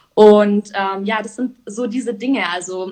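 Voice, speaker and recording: Fairly even intonation with a somewhat breathy quality. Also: woman. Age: 20s. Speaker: entrepreneur. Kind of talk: casual interview. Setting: live stream.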